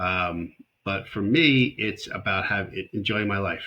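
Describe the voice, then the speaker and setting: A man pitched fairly low with a bright, sharp tone on a very clean recording with a silent background. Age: 60s. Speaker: startup advisor. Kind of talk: interview conversation.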